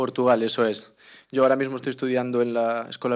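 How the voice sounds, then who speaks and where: At a very fast pace with fairly even intonation, the speaker talks with a Galician accent on a very clean recording with a silent background. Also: man. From Galicia, Spain. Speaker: clarinetist. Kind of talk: interview. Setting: auditorium with live audience.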